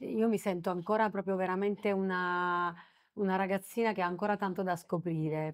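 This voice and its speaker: A woman talks at a moderate pace and medium pitch on a very clean recording with a silent background. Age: middle-aged. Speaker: singer. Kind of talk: interview. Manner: soft-spoken.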